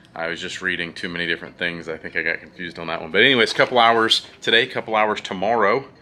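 A man is speaking. Light background noise is present. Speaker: parent vlogger. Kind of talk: casual vlog chat. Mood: calm, informative. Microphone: phone near.

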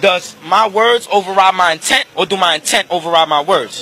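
A man's raised, projected voice with ordinary pitch variation, dry with no echo, over crowd noise in the background. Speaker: interviewee. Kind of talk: interview question, animated argument. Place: street. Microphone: handheld.

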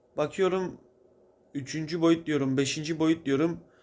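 With a normal speaking voice, a man talks at a fairly slow pace in a fairly high pitch, showing ordinary pitch variation. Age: 20s. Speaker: video blogger. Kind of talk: spiritual monologue. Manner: casual, conversational.

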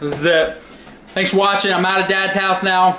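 In a raised, projected voice, a man talks at a moderate pace amid audible room echo and light background noise. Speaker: vlogger. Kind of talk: casual vlog chat. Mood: upset, frustrated.

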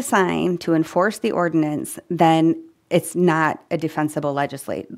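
Her pitch is fairly low, and she speaks at a moderate pace in an unremarkable speaking voice. The woman is heard against a quiet background. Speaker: city planner; council presenter. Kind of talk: presentation at a council study session. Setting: filmed city council meeting. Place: meeting room. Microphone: podium.

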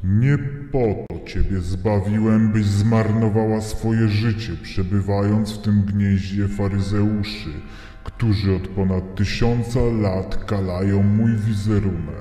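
A man's fairly low voice at a fairly slow pace, with a slight echo and clear background noise. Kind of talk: horror story acting. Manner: irritated, scolding.

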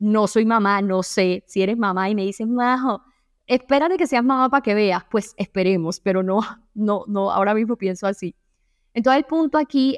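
The recording sounds dry and close, without echo. A fairly high-voiced woman talks at a moderate pace, her pitch varying in an ordinary way. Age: 20s. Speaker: self-help podcaster. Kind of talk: solo podcast monologue. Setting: at home.

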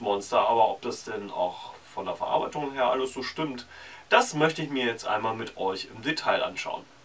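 He talks at a moderate pace. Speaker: puppet reviewer. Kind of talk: product review talk. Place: home room.

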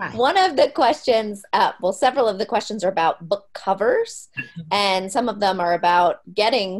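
A woman against a quiet background. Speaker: workshop host. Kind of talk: casual chat. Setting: video call. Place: home room. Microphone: video call.

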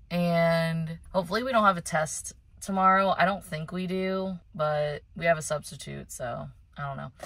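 A woman speaks at a moderate pace, fairly low in pitch with ordinary pitch variation. Her loudness swings widely, and the sound is dry with no echo. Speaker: lifestyle vlogger. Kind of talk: casual vlog talk to camera. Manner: upbeat, chatty. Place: car. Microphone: phone near.

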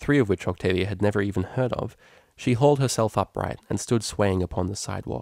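An unforced reading voice is what comes through.

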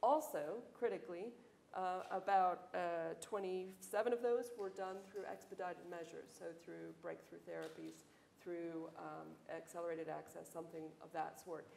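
At a fairly slow pace, a woman speaks with big swings in loudness, audible room echo and light background noise. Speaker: economist and pharmaceutical industry executive. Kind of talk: panel discussion. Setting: stage with audience. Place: hall.

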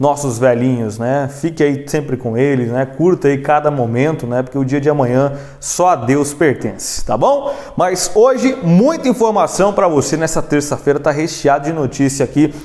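Moderate pace from a man with ordinary pitch variation. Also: hardly any pauses. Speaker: news presenter. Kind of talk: news presenting, casual host chat. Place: studio. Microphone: lapel.

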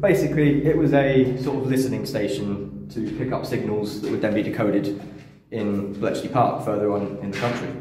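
Noticeable background noise and audible room echo surround the speaker. He is a man talking at a fairly quick pace. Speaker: urban explorer guide. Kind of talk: casual explaining commentary. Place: tunnel cave. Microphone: phone near.

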